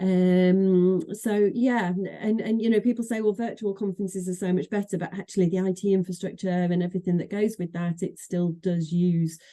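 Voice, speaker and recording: A woman in a Manchester accent with a dark, mellow tone, a fairly quick pace, hardly any pauses, and fairly even intonation. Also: medium pitch for a woman. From northern England, Manchester. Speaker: association executive director. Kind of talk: interview conversation. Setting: podcast. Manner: hesitant, many fillers and repeats.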